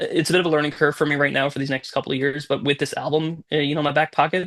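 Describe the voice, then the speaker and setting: This man talks in a monotone, flat intonation with vocal fry. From Newfoundland, Canada. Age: 30s. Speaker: musician. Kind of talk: interview.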